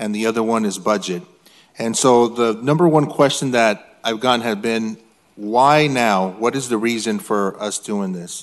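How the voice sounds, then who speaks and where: The background stays quiet. A man talks at a moderate pace, his pitch varying in an ordinary way. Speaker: city council member. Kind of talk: formal statement at public meeting. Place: hall. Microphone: podium.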